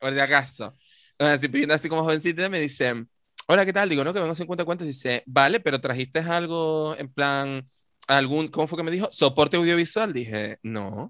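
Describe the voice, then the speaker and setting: Bright and sharp, a man's fairly high voice carries an animated tone with ordinary pitch variation. He speaks at a moderate pace. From Tenerife, Canary Islands. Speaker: podcast co-host. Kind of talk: casual chat.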